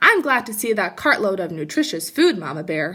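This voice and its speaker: Using a put-on character voice, a woman speaks at medium pitch. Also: moderate pace. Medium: read story.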